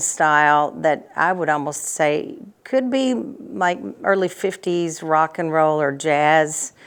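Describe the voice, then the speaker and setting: Speaking in a Tennessee accent, a woman has a very deep, low pitch with ordinary pitch variation. The recording is very clean, with a silent background. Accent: Tennessee twang. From US South, Nashville, Tennessee. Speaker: singer and entertainer. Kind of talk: interview.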